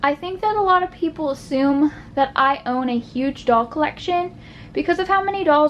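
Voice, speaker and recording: A woman talks at a moderate pace, her pitch high and her intonation lively. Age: 20s. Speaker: doll collector YouTuber. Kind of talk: casual chat video. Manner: conversational with fillers.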